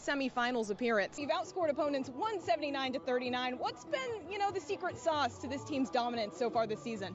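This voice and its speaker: Very fast and lively in intonation, a woman with an American accent talks at a high pitch over noticeable background noise. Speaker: sports anchor and reporter. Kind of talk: TV sports anchor desk read.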